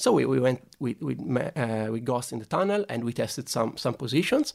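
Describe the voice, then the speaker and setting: A man speaks at a fairly quick pace with an Italian accent and ordinary pitch variation. The recording is very clean, with a silent background. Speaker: sports scientist. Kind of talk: interview conversation. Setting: studio. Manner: halting, hesitant with repeated words.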